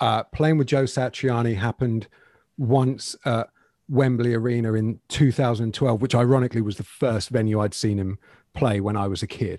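In a southern English accent, a man speaks at a medium pitch with a dark, mellow tone and fairly even intonation, dry and close with no echo on a very clean recording with a silent background. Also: moderate pace. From England, Bedfordshire. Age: 40s. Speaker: guitar YouTuber. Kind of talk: casual interview.

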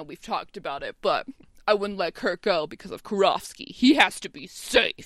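A woman puts on a gruff character voice at medium pitch, with lively intonation and a moderate pace. Her loudness swings widely. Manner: butch, gruff.

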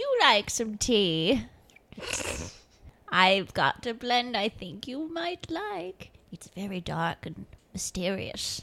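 A put-on character voice, female-sounding and medium in pitch for a woman. It moves at a very slow pace with long, frequent pauses. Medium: actual play. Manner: folksy, grandmotherly, teasing.

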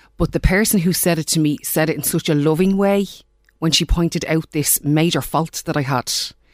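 A woman speaks in a Dublin accent. Her voice is very deep and low, with ordinary pitch variation. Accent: Dublin Irish. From Ireland, Dublin. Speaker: life coach. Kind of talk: interview.

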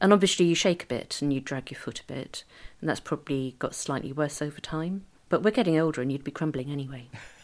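A woman with a very deep, low pitch talks at a very fast pace, with big swings in loudness. The recording is very clean, with a silent background. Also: ordinary pitch variation. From northern England. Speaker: spouse of a person with Parkinson's. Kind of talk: interview. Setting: home recording.

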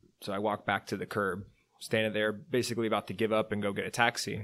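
A man with a Californian accent talks very fast at a fairly low pitch in a very clean recording with a silent background. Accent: California English. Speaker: travel company founder. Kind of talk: casual interview chat.

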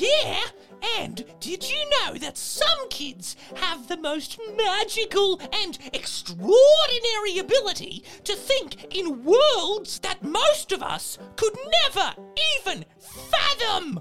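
A put-on character voice at an extremely high pitch, delivered at a fairly slow pace. Its pitch swings very widely, with clear music in the background. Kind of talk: children's show character voice. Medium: read story. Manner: bouncy, enthusiastic.

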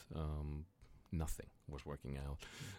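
On a very clean recording with a silent background, a man talks with a Greek accent. His pace is fairly slow. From Greece, Thessaloniki. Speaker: entrepreneur. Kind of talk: interview, life story. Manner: animated.

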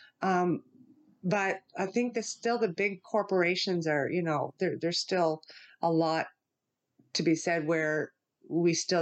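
Against a quiet background, a woman speaks in a normal speaking voice at a fairly low pitch and moderate pace, with ordinary pitch variation. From New Brunswick, Canada. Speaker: entrepreneur, maple syrup business founder. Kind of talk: casual interview.

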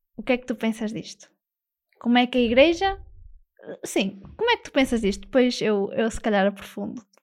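A woman's fairly high voice, fairly quick yet broken by long, frequent pauses, with lively intonation and big swings in loudness. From northern Portugal. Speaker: parish radio host. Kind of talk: interview. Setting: studio.

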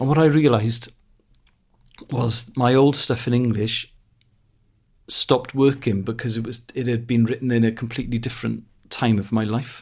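A man speaks at a medium pitch and a moderate pace in a Welsh accent, somewhat breathy and with monotone, flat intonation. He leaves long, frequent pauses. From Wales. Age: 40s. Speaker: comedian. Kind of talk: casual chat.

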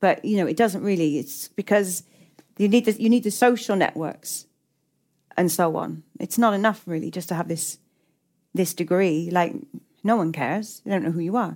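A woman with an English accent, medium pitch and ordinary pitch variation, moderate pace broken by long, frequent pauses, in a very clean recording with a silent background. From England, working-class town. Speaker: novelist. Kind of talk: onstage literary conversation. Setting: stage with audience.

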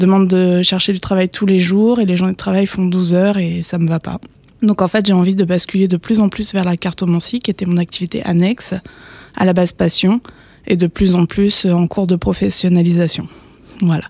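With a dark, mellow tone, a woman speaks at a moderate pace in a monotone, flat intonation. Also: medium pitch for a woman, dry, close sound with no echo. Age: 30s. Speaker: cartomancer. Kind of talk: casual interview chat. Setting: studio. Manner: hesitant, many fillers.

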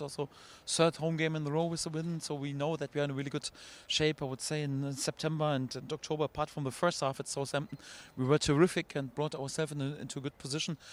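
A man speaks very fast at a fairly high pitch with monotone, flat intonation. The sound is dry and close, with no echo. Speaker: football manager. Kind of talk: post-match interview.

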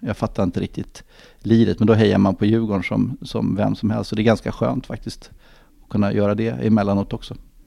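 This man speaks fairly quickly in a fairly low voice with vocal fry. His tone is dark and mellow, and the background is quiet. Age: 50s. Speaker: football club executive. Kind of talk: podcast interview. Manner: halting, many fillers and repetitions.

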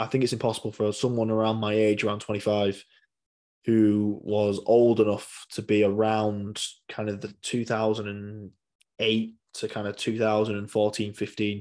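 A man with a West Yorkshire accent speaks at a moderate pace. His pitch is fairly low, and the background is quiet. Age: 20s. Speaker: rugby league fan podcast host. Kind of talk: solo podcast monologue. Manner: hesitant, many fillers.

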